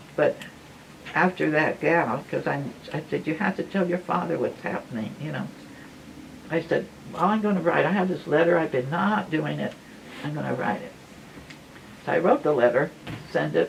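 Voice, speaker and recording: With noticeable noise behind the voice, the speaker moves at a moderate pace and leaves long, frequent pauses. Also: woman. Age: 80s+. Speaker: former nun. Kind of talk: life story talk to audience.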